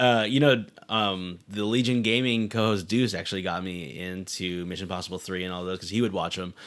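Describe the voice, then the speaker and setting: Here a man talks at a fairly quick pace with hardly any pauses, in a normal speaking voice. His pitch is fairly low, with ordinary pitch variation. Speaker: podcast co-host. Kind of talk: casual chat.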